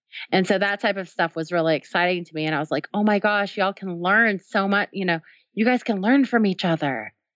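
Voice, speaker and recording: A woman speaks in an ordinary speaking voice. Her pitch is medium and her pace fairly quick. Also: ordinary pitch variation. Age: 30s. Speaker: tech company co-founder, developer advocate. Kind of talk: interview.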